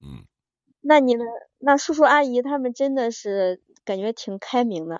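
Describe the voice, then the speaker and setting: A woman speaks in a high voice at a fairly slow pace, with long, frequent pauses. Her intonation is lively and her loudness swings widely. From China, Henan. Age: 30s. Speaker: caller to a relationship advice show. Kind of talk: call-in chat. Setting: live-stream call-in.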